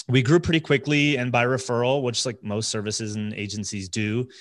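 With an American accent and an ordinary speaking voice, a man talks at medium pitch and a moderate pace with ordinary pitch variation against a quiet background. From New Jersey. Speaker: agency CEO and business coach. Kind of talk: podcast interview.

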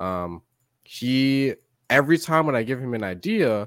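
On a very clean recording with a silent background and a dry, close sound with no echo, a man speaks with lively intonation. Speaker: content creator. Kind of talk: casual chat. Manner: casual, slangy.

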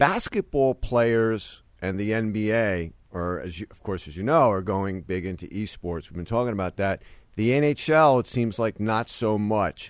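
Against a quiet background, a man with an unremarkable speaking voice talks at a fairly slow pace with hardly any pauses. His pitch is fairly low with ordinary variation, and his loudness swings widely. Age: 50s. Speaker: sports business podcast host. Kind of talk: interview.

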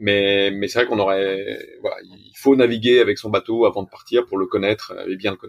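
A man's fairly low voice runs at a fairly quick pace in a monotone, flat intonation. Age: 40s. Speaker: sailor, accountant by training. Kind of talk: interview.

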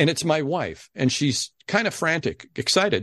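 Against a quiet background, a man with a fairly high pitch speaks in an unremarkable speaking voice with lively intonation. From Ohio. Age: 60s. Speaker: game show announcer. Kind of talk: interview storytelling.

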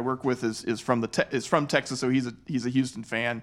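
A man with a normal speaking voice at a medium pitch talks at a fairly quick pace in a very clean recording with a silent background. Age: 40s. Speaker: sports podcast host. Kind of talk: casual chat.

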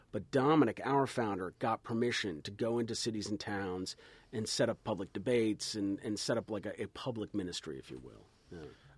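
Speaking fairly quickly with an American accent, a man has a fairly low pitch, vocal fry, lively intonation and big swings in loudness, on a very clean recording with a silent background. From New Jersey, US. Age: 40s. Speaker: priest and radio host. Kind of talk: casual chat. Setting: studio.

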